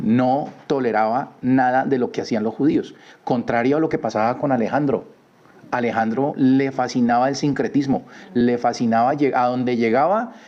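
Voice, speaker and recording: At a moderate pace, a man speaks in a medium pitch. His intonation is fairly even and his loudness very even. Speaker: Bible study teacher. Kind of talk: religious study lecture. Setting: live stream. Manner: halting.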